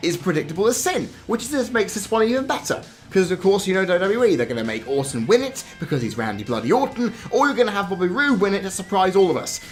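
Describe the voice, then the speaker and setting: Someone talks at a very fast pace with a British accent. Music plays in the background. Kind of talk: wrestling commentary rant to camera.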